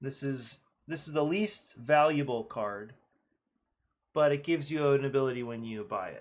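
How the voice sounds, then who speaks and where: Recorded very cleanly against a silent background, a man with a fairly high voice talks at a moderate pace with ordinary pitch variation, big swings in loudness, and long, frequent pauses. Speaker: game designer. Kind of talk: casual design talk. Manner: unscripted thinking aloud; halting, self-correcting.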